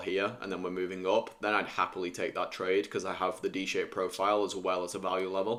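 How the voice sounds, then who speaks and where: With a British accent, a man talks very fast in a very deep, low voice, his intonation monotone and flat. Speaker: futures day trader streamer. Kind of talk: live trading stream commentary. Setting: live stream. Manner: casual, thinking aloud.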